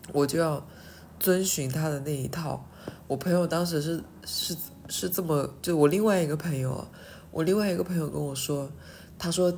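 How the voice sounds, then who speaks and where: A woman's very deep, low voice at a moderate pace, with ordinary pitch variation, long, frequent pauses and audible room echo. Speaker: podcaster. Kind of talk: casual monologue. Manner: halting.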